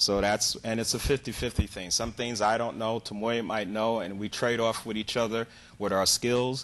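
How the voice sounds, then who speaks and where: At a moderate pace over a quiet background, a man speaks at a fairly low pitch in an unremarkable speaking voice. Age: 60s. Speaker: dance teacher. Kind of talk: TV interview.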